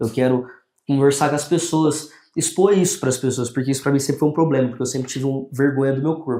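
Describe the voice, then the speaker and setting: The man's pitch is fairly high. His tone is dark and mellow. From Brazil, São Paulo state / Minas Gerais (Poços de Caldas). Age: 20s. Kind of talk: podcast interview.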